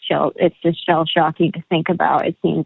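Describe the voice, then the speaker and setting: A woman is speaking. Her pace is moderate. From Canada, northern Alberta (Grande Prairie). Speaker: country singer-songwriter. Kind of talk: casual interview chat.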